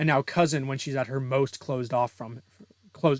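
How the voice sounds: Fairly even intonation in a natural reading voice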